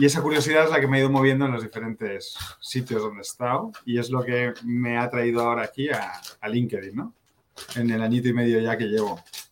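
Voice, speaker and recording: A man with a medium pitch races along at a very fast pace, his intonation fairly even. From born in Sweden, raised in US to age nine, then Spain. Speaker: marketing executive. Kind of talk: interview. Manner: hesitant, many repeated words.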